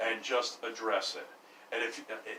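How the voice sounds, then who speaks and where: A man talks at a fairly quick pace, with noticeable background noise and audible room echo around him. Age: 60s. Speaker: landlord. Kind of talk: casual chat.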